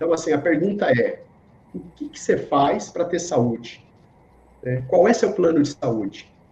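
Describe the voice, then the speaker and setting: Speaking at a fairly slow pace, a man with a high pitch uses lively intonation, big swings in loudness, and long, frequent pauses. Noticeable background noise runs through the clip. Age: 60s. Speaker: yoga and reiki teacher, speaker. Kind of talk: interview.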